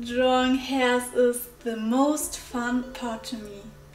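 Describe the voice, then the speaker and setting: Audible room echo surrounds a woman whose high-pitched voice keeps a fairly even intonation. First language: not English. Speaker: digital artist. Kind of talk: voiceover art talk over speedpaint.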